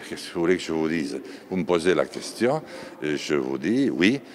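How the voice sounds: With noticeable background noise, a man speaks at a fairly slow pace with lively intonation.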